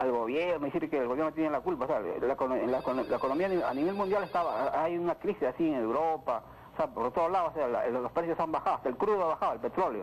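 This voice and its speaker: A man talks at a very fast pace with hardly any pauses and very even loudness. His voice is fairly high, with ordinary pitch variation. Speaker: caller. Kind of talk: radio call-in opinion. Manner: halting, many fillers.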